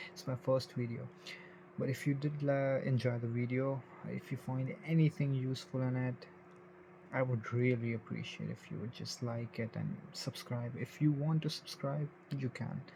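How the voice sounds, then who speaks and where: At a moderate pace, this speaker talks with a non-native accent and fairly even intonation. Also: man, medium pitch for a man. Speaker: tech reviewer. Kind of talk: casual tech review. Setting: home bedroom, at night. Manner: informal, slightly halting.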